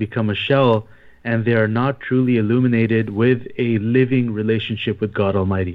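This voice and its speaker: A man with a normal speaking voice keeps his intonation fairly even, speaking at a medium pitch and a moderate pace. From Canada, Toronto. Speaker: imam and missionary. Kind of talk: religious talk on radio. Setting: phone line.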